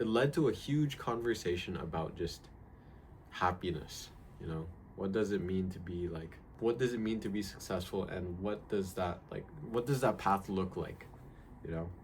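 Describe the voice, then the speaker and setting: A man speaks at a moderate pace with a fairly low pitch and ordinary pitch variation. His voice is somewhat breathy. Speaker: vlogger. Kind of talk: casual vlog monologue. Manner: halting, many fillers; casual and relaxed.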